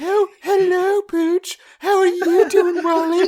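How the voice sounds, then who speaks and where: The put-on character voice is delivered with monotone, flat intonation. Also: female-sounding voice, extremely high pitch for a woman, fairly slow pace. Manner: playful, mocking.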